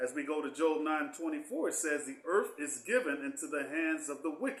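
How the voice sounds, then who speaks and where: He has a normal speaking voice, pitched fairly high, with lively intonation. The man keeps a moderate pace. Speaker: Bible teacher. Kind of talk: Bible class.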